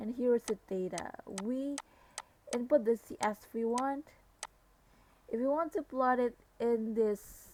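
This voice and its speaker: A woman with a non-native accent speaks quietly at a high pitch, her tone dark and mellow. Her fairly slow speech, with ordinary pitch variation and long, frequent pauses, has a dry, close sound with no echo. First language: non-native English speaker. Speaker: civil engineering / GIS practitioner. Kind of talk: software tutorial narration. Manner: quiet, low volume.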